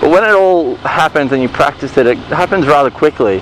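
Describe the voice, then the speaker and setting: With noticeable background noise behind him, a man at a fairly high pitch makes very wide pitch swings. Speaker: motorcycle riding instructor. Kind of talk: tutorial. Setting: riding a motorcycle in a car park.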